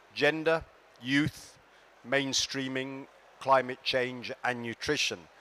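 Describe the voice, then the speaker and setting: Very slowly, a man talks at a medium pitch with fairly even intonation. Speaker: development finance official. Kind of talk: conference speech. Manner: projecting loudly.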